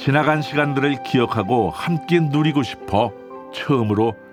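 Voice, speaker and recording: Music plays in the background while the speech moves at a fairly slow pace. The intonation is lively. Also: man. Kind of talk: documentary narration.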